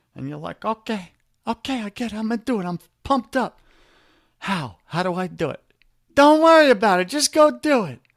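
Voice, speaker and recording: Speaking with a New York accent, a man has a high pitch, very wide pitch swings and an animated tone at a fairly quick pace broken by long, frequent pauses. The recording is very clean, with a silent background and a dry, close sound with no echo. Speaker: men's life coach. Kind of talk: podcast interview.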